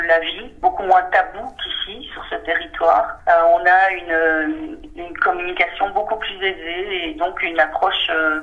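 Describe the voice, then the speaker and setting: Against noticeable background noise, a woman speaks fairly slowly in a fairly high pitch. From Belgium. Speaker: senior healthcare manager. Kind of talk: interview testimony. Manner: hesitant, many fillers.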